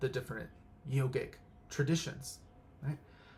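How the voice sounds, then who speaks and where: Somewhat breathy, a man speaks with a fairly high pitch and fairly even intonation. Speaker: pranic healing instructor. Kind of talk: casual spiritual talk. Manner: halting, many fillers.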